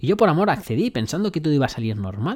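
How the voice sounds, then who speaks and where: The man's pitch is fairly high and swings very widely. He sounds animated and talks at a fairly quick pace. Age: 30s. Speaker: self-development podcaster. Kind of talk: motivational monologue.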